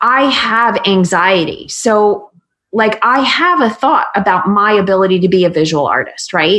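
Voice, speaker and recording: Lively intonation and very even loudness mark this voice, which moves at a fairly slow pace. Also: woman, medium pitch for a woman. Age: 40s. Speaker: business coach. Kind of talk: casual chat.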